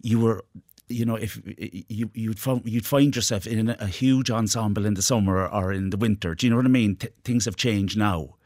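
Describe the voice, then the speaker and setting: A man with an Irish accent speaks at a fairly quick pace, his fairly low voice held to fairly even intonation. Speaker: actor and playwright. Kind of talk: radio interview. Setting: studio.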